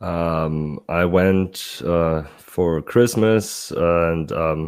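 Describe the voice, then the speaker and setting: A man with a German accent. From Germany, Munich. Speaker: sports fan guest. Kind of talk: casual chat. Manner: halting.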